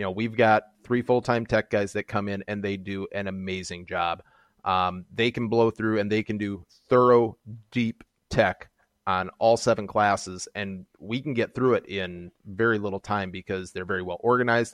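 A man with an American accent and a fairly low pitch talks at a moderate pace with fairly even intonation. He has an unremarkable speaking voice, recorded dry and close with no echo. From Minnesota, US Midwest. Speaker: kart racing series organizer. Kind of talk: interview.

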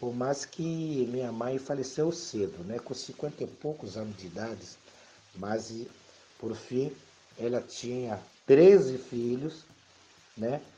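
This man has a dark, mellow tone at a medium pitch, with lively intonation. He speaks at a very slow pace, leaving long, frequent pauses. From DR Congo, Kinshasa. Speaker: immigrant. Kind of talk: life story interview. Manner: soft-spoken; halting.

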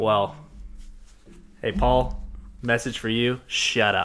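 A man with an American accent talks very slowly, leaving long, frequent pauses. His medium-pitched voice has a bright, sharp tone, vocal fry and fairly even intonation. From US South, Georgia. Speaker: podcast host. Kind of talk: casual chat. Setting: studio.

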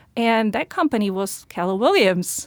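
A woman with a Slovak accent at a fairly slow pace and ordinary pitch variation, on a very clean recording against a silent background. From Slovakia. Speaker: realtor. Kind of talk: interview.

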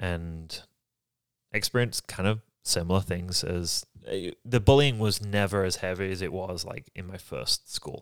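Recorded very cleanly against a silent background, a man with an American accent and a very deep, low pitch talks at a fairly slow pace, with ordinary pitch variation and big swings in loudness. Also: dry, close sound with no echo. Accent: English (Yorkshire) fading toward American. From Yorkshire, England. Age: 30s. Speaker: podcast co-host. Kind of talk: casual storytelling chat.

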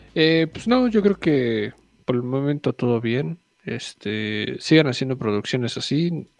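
Heard in a dry, close sound with no echo, a man with a fairly high pitch and ordinary pitch variation speaks at a very slow pace. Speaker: podcast co-host. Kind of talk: casual chat.

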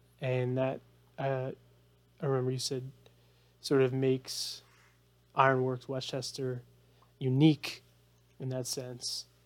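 Speaking at a fairly slow pace with long, frequent pauses, a man keeps a medium pitch and a monotone, flat intonation. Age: 30s. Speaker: podcast host. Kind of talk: interview.

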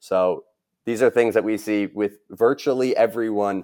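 A man's voice in a dry, close sound with no echo. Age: 20s. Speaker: startup founder. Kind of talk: interview. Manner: halting.

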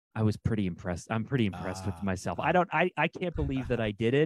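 A man at a medium pitch. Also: dry, close sound with no echo. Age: 30s. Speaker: brand strategist and podcast host. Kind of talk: interview. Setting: video call. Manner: halting.

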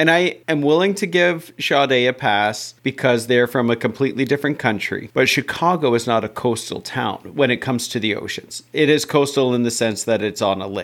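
A man talks in a normal speaking voice at medium pitch with ordinary pitch variation. He barely pauses at all. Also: moderate pace. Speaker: music podcast co-host. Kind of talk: casual chat.

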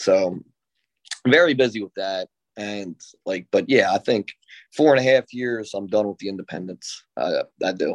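A man at a moderate pace, with long, frequent pauses, ordinary pitch variation and big swings in loudness. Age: 30s. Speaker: professional wrestler. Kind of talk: interview. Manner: halting, many fillers.

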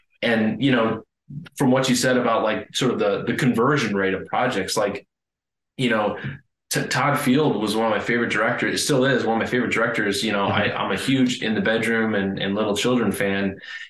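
Audible room echo surrounds a man speaking fairly quickly at a medium pitch with fairly even intonation. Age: 30s. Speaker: film director and screenwriter. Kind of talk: casual interview.

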